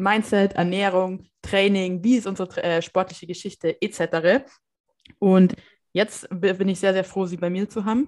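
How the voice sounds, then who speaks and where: In a very clean recording with a silent background, a woman with an unremarkable speaking voice speaks at a medium pitch and fairly slow pace with fairly even intonation. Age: 20s. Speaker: podcast host. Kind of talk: casual chat.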